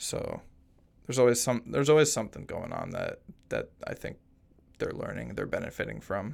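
A man talks at a fairly quick pace but leaves long, frequent pauses. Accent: American. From US suburbs. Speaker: public affairs specialist, assistant scoutmaster. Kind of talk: casual interview.

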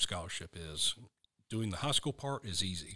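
A man with an American accent talks at a moderate pace in a bright, sharp tone with a fairly low pitch. The sound is dry and close, with no echo. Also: very clean recording, silent background. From US South, Western North Carolina. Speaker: army officer and college recruiter. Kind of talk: interview.

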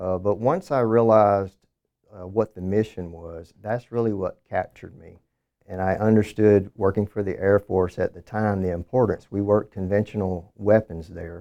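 In a Southern US accent, a man speaks at a moderate pace with a fairly low, dark, mellow tone and fairly even intonation, though his loudness swings widely. The sound is dry and close with no echo, over a quiet background. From southern Alabama. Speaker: government contracting director. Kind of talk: interview.

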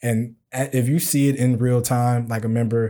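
On a very clean recording with a silent background, a man with an American accent speaks in a flat monotone at medium pitch, his tone dark and mellow. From Chicago. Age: 20s. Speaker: military medical records manager. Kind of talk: casual chat.

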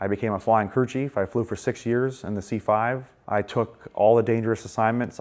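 A man with a plain, everyday voice, medium in pitch, fairly even in intonation, in a very clean recording with a silent background. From Maine, US. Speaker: air force veteran. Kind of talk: testimony.

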